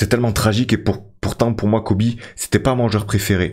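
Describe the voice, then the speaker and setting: A man talks at a very fast pace in a somewhat breathy voice over a quiet background. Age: 30s. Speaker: gaming YouTuber; gaming streamer. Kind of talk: gameplay commentary. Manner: hesitant, many fillers. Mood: reflective, nostalgic about players.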